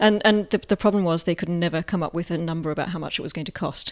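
A woman speaks very fast in a fairly low voice with ordinary pitch variation, on a very clean recording with a silent background. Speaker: academic and think tank director. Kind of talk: casual interview chat.

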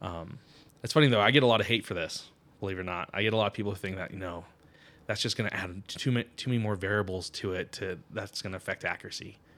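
A man with a fairly low pitch and an American accent talks at a very fast pace with ordinary pitch variation, recorded very cleanly against a silent background. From Connecticut, US. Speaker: firearms trigger inventor. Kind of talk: interview.

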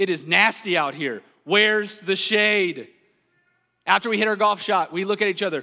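The voice is raised and projected, bright and sharp in tone, with an American accent and ordinary pitch variation. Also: man, high pitch for a man, moderate pace. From US South. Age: 30s. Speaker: pastor. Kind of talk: sermon. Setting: church.

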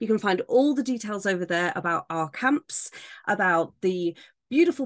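The speaker has an ordinary speaking voice and lively intonation at a moderate pace. The background is quiet. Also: woman. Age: 30s. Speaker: temporary podcast host for authors. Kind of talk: solo tutorial monologue.

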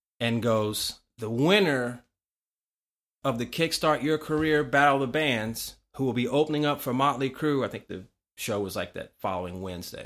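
A man's voice, an unremarkable speaking voice, in a very clean recording with a silent background. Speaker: musician. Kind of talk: casual chat.

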